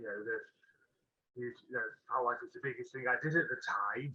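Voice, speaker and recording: A man with a Potteries accent. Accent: Potteries (Stoke) English. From Stoke-on-Trent, England. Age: 30s. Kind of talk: interview. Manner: halting, many fillers.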